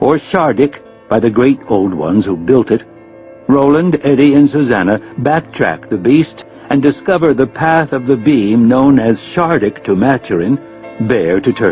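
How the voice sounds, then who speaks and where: Music plays in the background as a man speaks at a moderate pace and medium pitch with lively intonation. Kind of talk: audiobook narration.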